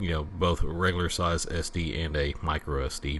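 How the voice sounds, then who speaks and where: A man with a Southern US accent speaks in a very deep, low pitch with ordinary pitch variation. Noticeable background noise runs under his voice. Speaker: retro computer YouTuber. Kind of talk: product review and unboxing. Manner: halting, many fillers.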